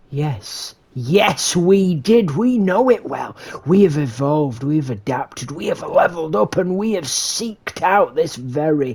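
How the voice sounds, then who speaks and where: The voice sits at a middle pitch and runs on with hardly any pauses. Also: moderate pace. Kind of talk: grandiose mock-epic narration. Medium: game stream. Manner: dramatic, repetitive, incantatory.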